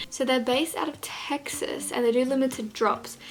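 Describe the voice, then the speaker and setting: Against noticeable background noise, a woman with an Australian accent speaks at a high pitch. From Australia, Gold Coast. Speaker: fashion vlogger. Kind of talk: casual vlog chat. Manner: fast; animated.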